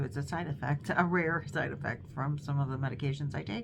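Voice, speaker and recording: There is audible room echo as a woman with an Inland North accent speaks at a moderate pace in a somewhat breathy voice with a very deep, low pitch. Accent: US Midwest (Inland North). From Northern Ohio, Cleveland. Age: 60s. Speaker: crochet vlogger. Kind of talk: casual chat. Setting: dining room at home. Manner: hesitant, many fillers.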